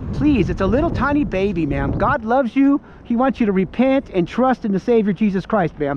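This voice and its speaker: Fairly quick speech comes through with a dry sound and no echo. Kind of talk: street preaching, calling out to a passer-by. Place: street. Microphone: phone near.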